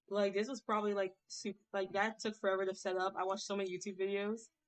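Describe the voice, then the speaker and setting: A woman speaks at a moderate pace in a medium-pitched voice. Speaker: streamer drawing live. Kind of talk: casual live-stream chat while drawing. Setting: live stream with avatar, no webcam. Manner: enthusiastic-sounding; halting, many fillers and restarts.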